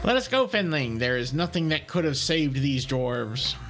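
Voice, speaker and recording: Over clear background noise, a man does a put-on character voice at a fairly high pitch and a moderate pace. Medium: game stream. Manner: dry, grumbling.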